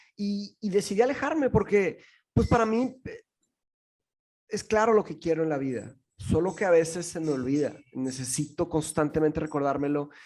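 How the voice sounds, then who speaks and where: A man with a fairly high-pitched voice talks at a moderate speed, his intonation lively. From Brazil. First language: Portuguese (speaking Spanish). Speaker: philosophy teacher and podcaster. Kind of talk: podcast interview. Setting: remote call. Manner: halting, many fillers and restarts.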